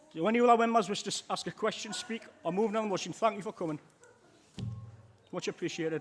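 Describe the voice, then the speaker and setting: A man with a high pitch and ordinary pitch variation talks at a very fast pace. He takes long, frequent pauses over noticeable background noise. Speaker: council meeting chair. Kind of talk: formal meeting chairing.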